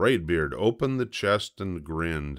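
A man speaks slowly in a low voice with lively intonation, on a very clean recording with a silent background.

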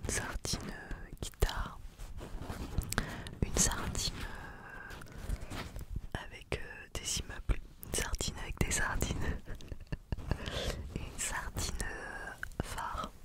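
A woman whispering at a very slow pace with long, frequent pauses, dry with no echo, over loud background noise. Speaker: ASMR creator. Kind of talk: soft-spoken ASMR show-and-tell chat. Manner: close-mic French whisper. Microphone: studio mic.

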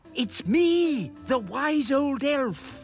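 A female-sounding put-on character voice, high-pitched for a woman, plays over clear background music. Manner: whispering.

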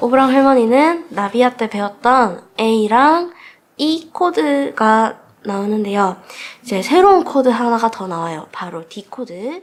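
The woman talks very slowly. Her voice leaps through very wide swings in pitch. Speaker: guitar teacher. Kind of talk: tutorial instruction.

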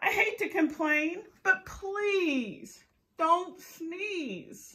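A woman speaks very slowly in a put-on character voice pitched extremely high. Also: ordinary pitch variation. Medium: read story. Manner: alarmed, pleading.

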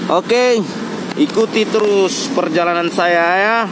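The speech comes at a very slow pace, with a dry sound and no echo, over noticeable background noise. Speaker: bus-spotting vlogger. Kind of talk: casual vlog chat. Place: street. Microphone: phone near.

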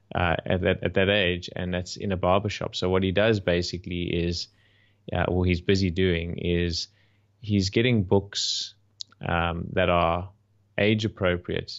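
A man with a South African accent speaks at a fairly slow pace in a very deep, low pitch. His intonation is monotone and flat, and the background is quiet. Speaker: podcast host. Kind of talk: casual chat. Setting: video call. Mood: friendly, amused. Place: home room. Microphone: studio mic.

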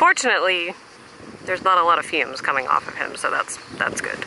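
There is no echo and the sound is dry, but background noise is noticeable. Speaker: travel vlogger. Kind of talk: casual vlog chat. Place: boat.

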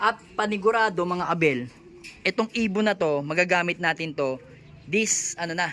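Noticeable background noise accompanies speech that moves along at a moderate pace. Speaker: pigeon fancier vlogger. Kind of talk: casual vlog narration.

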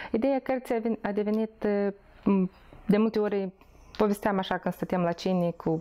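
A woman's voice with a dark, mellow tone. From Moldova. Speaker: charity founder, former nurse; interviewee. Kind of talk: personal testimony interview. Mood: calm, reflective. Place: home room. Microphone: lapel.

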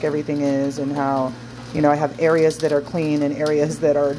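The speech runs at a fairly quick pace against noticeable background noise. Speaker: wellness vlogger. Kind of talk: casual vlog chat. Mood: reflective, vulnerable. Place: kitchen. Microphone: phone near.

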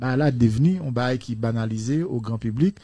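In a dry recording with no echo and a quiet background, a man speaks with a somewhat breathy, dark, mellow tone. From Haiti. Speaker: philosophy teacher. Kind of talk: radio debate. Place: studio. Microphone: studio mic.

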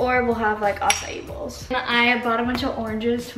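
Loud background noise sits under a woman talking at a fairly quick pace. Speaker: vlogger. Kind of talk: casual vlog chat. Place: kitchen. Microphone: camera far.

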